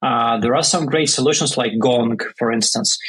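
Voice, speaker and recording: A man with a Russian accent at a moderate pace. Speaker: startup founder. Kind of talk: podcast interview. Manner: hesitant, many fillers.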